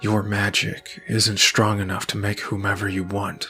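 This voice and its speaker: In a put-on character voice, a man speaks raspy and fairly low at a moderate pace with monotone, flat intonation, faint music playing behind him. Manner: menacing.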